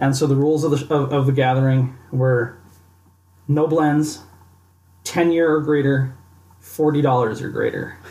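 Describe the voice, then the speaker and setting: This man's voice sits at a fairly high pitch, with a dark, mellow tone and a somewhat breathy quality. He talks at a moderate pace in a monotone, flat intonation, with long, frequent pauses. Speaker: podcast host. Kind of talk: casual tasting chat. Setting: studio podcast recording.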